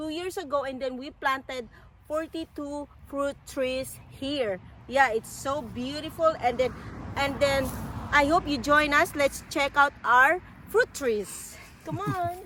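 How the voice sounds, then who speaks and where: The speaker uses a raised, projected voice with a Filipino accent and ordinary pitch variation. The pace is very slow, with noticeable background noise. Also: woman, high pitch for a woman. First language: Tagalog. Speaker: vlogger. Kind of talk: casual chat. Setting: outdoors. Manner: halting.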